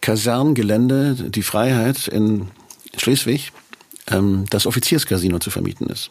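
A man talks at a moderate pace and a medium pitch. His is an unremarkable speaking voice. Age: 60s. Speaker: musician. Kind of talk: casual chat.

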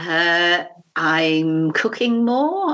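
With a British accent, a woman talks in very wide pitch swings. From UK. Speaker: arts management educator and trainer. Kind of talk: interview conversation. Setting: Skype call.

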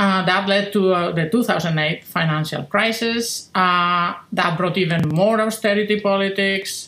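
A woman with a Spanish accent speaks fairly slowly in a bright, sharp tone, with fairly even intonation and very even loudness. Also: medium pitch for a woman, hardly any pauses. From Spain. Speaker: philosophy professor. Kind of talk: interview.

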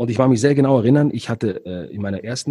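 A man speaks very fast at a medium pitch, with a dark, mellow tone and ordinary pitch variation. His voice is somewhat breathy, and the recording is very clean with a silent background. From Switzerland. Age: 40s. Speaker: entrepreneur and negotiator, former radiologist. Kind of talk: interview.

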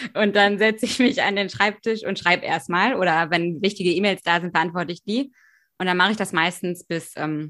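On a very clean recording with a silent background, a woman talks at a moderate pace, her medium pitch showing ordinary variation and her tone bright and sharp. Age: 20s. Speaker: novelist. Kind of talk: casual chat.

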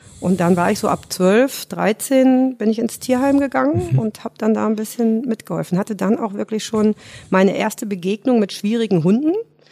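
This woman's voice has a dark, mellow tone, a fairly high pitch and lively intonation. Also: moderate pace. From Rhineland, Germany (between Cologne and Düsseldorf). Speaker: dog trainer and animal psychologist. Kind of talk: casual interview.

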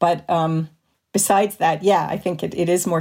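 A woman talks at a fairly quick pace with vocal fry. Her tone is dark and mellow. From Canada (Montreal). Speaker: film scholar and cultural critic. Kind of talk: casual panel discussion. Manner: uses many fillers, thoughtful.

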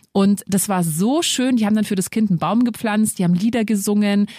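Speaking at a fairly quick pace, a woman uses lively intonation at a medium pitch, her voice somewhat breathy. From Lower Bavaria, Germany. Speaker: podcast host, single mother. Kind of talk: casual chat. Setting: studio.

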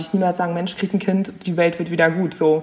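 Very fast and fairly low in pitch, a woman speaks with a monotone, flat intonation. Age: 20s. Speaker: young mother. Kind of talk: casual chat.

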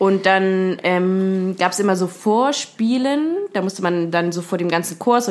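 There is noticeable background noise. Through it, a woman speaks at a medium pitch. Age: 20s. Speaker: trained singer. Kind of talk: casual chat.

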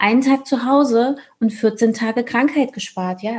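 A woman speaks with fairly even intonation in a fairly high pitch. Her tone is dark and mellow. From Thuringia, Germany. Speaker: business coach. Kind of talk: casual interview chat.

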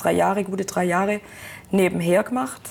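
Talking at a fairly quick pace, a woman has a fairly low pitch and vocal fry. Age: 20s. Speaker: production supervisor in car manufacturing. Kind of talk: interview.

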